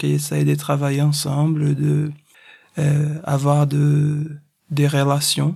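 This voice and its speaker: A man with a Portuguese accent speaks very slowly in a fairly high-pitched voice with a dark, mellow tone. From Brazil, Recife. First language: Portuguese (speaking French). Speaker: circus artist. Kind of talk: interview.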